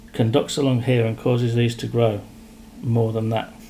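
A man's very fast, somewhat breathy voice at a medium pitch, with light background noise. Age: 50s. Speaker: piston company director and machinist. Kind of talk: technical explanation in workshop. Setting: factory workshop. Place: office.

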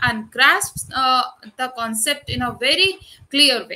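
A woman speaks in a raised, projected voice with a bright, sharp tone. Her pace is fairly slow. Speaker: university lecturer. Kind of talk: lecture. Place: home room. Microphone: webcam.

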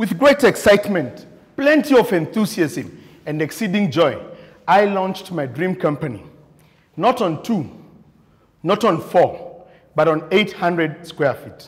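A man at a fairly slow pace with long, frequent pauses over a quiet background. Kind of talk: prepared contest speech. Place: meeting room.

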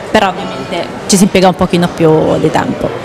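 A woman talks at a moderate pace in a monotone, flat intonation. Noticeable background noise is present. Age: young. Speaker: businesswoman; guest. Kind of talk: interview. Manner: halting. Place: hall. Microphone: handheld.

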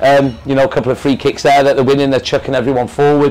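At a medium pitch, a man speaks with a slightly mellow tone.

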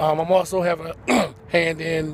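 With noticeable background noise and a dry sound with no echo, a man speaks in a flat, monotone voice at a fairly high pitch. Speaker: youth football program director and coach. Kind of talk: interview answer. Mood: proud, calm. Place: street. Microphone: phone near.

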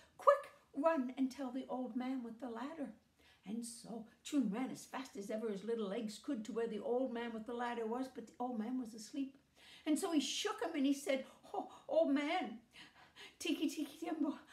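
A woman talks at a moderate pace in a high voice with ordinary pitch variation. The room echo is audible. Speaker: storyteller. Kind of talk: storytelling with character voices. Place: home room. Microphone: phone near.

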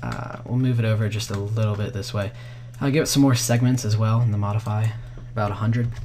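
Medium in pitch, a man speaks at a fairly quick pace yet with long, frequent pauses and monotone, flat intonation. Audible room echo and noticeable background noise surround him. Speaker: vfx tutorial youtuber. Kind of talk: tutorial.

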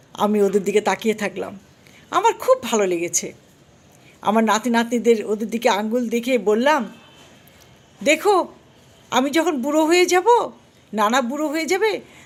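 With very wide swings in pitch, a woman's fairly high voice rises and falls. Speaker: vlogger. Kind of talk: personal storytelling.

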